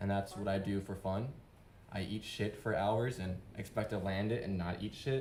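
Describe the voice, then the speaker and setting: At a moderate pace, a man with a fairly low pitch speaks in a somewhat breathy way with fairly even intonation. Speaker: open-mic speaker, father and skateboarder. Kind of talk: unprepared personal speech. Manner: halting.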